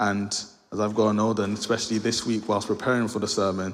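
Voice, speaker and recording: The speaker has a London accent and a monotone, flat intonation. There is audible echo in the room. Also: man. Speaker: lay preacher. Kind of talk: sermon. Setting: church. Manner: fast; mumbling.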